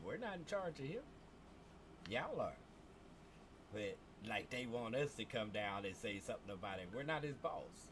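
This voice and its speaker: At a moderate pace, a man of medium pitch swings his voice very widely, breaking often with long pauses. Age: 50s. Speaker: gaming streamer, army veteran. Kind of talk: casual livestream rant. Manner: animated.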